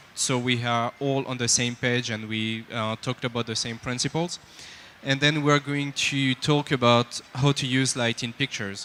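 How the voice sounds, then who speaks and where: In a French accent, a man speaks at a medium pitch and moderate pace with monotone, flat intonation in a dry, close sound with no echo. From France. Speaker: lighting technical director, speaker. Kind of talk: conference talk. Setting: stage with audience. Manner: halting, with frequent fillers.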